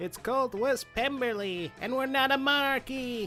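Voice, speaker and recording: Someone talks in a put-on character voice at a moderate pace. Clear music plays in the background. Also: man, extremely high pitch for a man. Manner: shouting indignantly.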